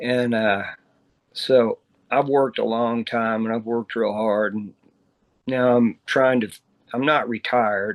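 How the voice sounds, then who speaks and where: In a Texan accent, a man speaks very slowly at a medium pitch with monotone, flat intonation. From Texas, Dallas. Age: 60s. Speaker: musician. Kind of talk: interview.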